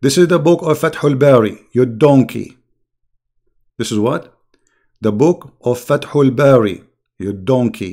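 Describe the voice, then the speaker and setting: Long, frequent pauses break up this man's fairly slow, lively delivery, his medium-pitched voice dark and mellow on a very clean recording with a silent background. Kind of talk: polemical video commentary. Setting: home recording with screen share. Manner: halting with fillers; heated, insulting tone.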